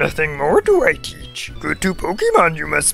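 A man performs a put-on character voice at a fairly slow pace. Clear music plays in the background.

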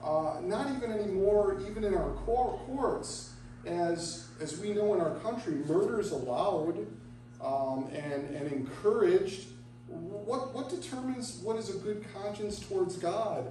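There is audible room echo and light background noise as a man talks at a fairly slow pace. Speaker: pastor. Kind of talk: sermon. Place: church. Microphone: camera far.

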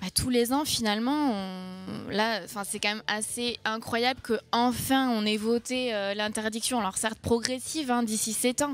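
A woman with a fairly high voice talks at a moderate pace, using ordinary pitch variation and few pauses.

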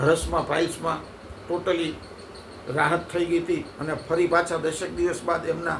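Amid audible room echo and noticeable background noise, a man speaks in a high pitch with monotone, flat intonation. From Gujarat, India (Halvad taluka, Jhalawad). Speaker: herbal product seller and community elder. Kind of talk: sales pitch.

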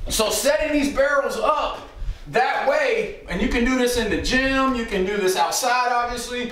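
A man speaks at an extremely high pitch, with light background noise and audible room echo. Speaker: football coach. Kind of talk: tutorial. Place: home room.

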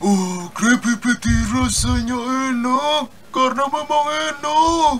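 A man's cartoonish character voice at an extremely high pitch and very slow pace, with clear background noise. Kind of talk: cartoon fan dub.

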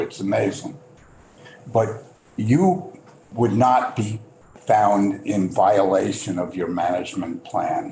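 Amid light background noise and audible room echo, a man talks at a very slow pace. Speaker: state legislator. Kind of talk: committee questioning. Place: meeting room. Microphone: camera far.

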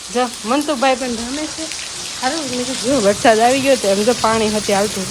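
A woman with a high voice and ordinary pitch variation talks amid audible room echo and noticeable background noise. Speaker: vlogger. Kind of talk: casual vlog narration.

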